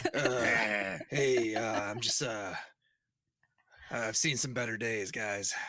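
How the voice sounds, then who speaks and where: Using a put-on character voice, a raspy man at medium pitch talks at a very slow pace with long, frequent pauses and fairly even intonation. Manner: weary, resigned.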